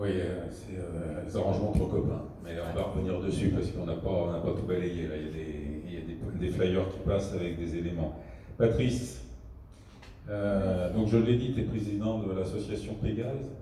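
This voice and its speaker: The speaker keeps a moderate pace, with audible room echo and noticeable background noise. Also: man, very deep, low pitch for a man, ordinary pitch variation. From France, Paris suburbs (Val-de-Marne). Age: 60s. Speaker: debate moderator. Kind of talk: public debate moderation.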